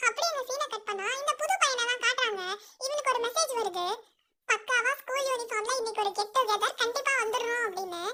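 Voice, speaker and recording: Her pitch extremely high, a woman speaks at a moderate pace with ordinary pitch variation. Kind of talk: colloquial drama recap. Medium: solo performance. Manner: fast, conversational, wry.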